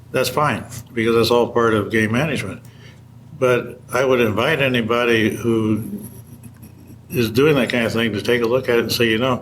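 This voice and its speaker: A man's medium-pitched, monotone, flat delivery with long, frequent pauses and audible room echo. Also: moderate pace. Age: 70s. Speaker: hunting magazine editor. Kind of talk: interview.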